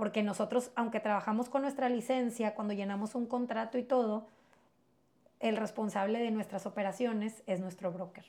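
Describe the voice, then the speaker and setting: A woman's somewhat breathy, dark, mellow voice at a fairly high pitch, moderate pace, and fairly even intonation. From Mexico-US border, Piedras Negras area. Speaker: real estate agent. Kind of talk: interview.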